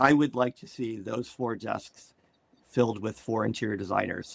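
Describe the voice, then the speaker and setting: This man speaks with an American accent and vocal fry. The sound is dry and close, with no echo. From Maryland, US. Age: 50s. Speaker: interior design firm owner. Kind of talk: podcast interview.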